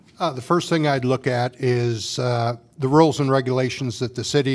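With an American accent, a man speaks at a moderate pace and medium pitch with fairly even intonation over noticeable background noise. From Washington, Iowa. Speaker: city council candidate. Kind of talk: candidate forum. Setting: public forum with audience.

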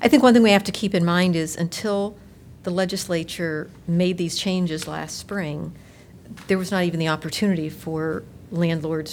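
This woman speaks at a moderate pace in an ordinary speaking voice, her intonation fairly even. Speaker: city council member. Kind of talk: formal public meeting.

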